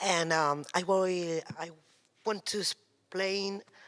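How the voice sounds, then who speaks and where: Her voice sits at a medium pitch for a woman. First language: Spanish or Catalan. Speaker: theatre educator. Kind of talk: audience question. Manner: halting.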